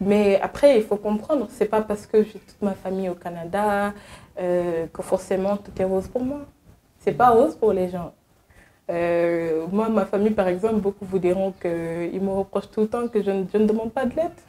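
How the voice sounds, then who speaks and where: A woman with an ordinary speaking voice talks at a moderate pace and medium pitch with ordinary pitch variation. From Senegal. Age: young. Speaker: advocacy agency worker, returnee from abroad. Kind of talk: interview.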